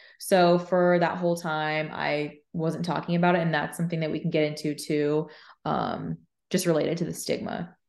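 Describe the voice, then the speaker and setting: A fairly low-pitched woman at a moderate pace, monotone and flat in intonation, with a quiet background. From Arizona. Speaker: mental health podcaster and speaker. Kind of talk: interview. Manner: casual, filler-heavy.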